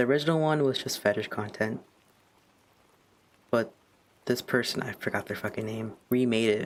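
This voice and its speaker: With long, frequent pauses, a man speaks at a moderate pace and medium pitch. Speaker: streamer and digital artist. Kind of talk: casual chat. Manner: monotone; halting.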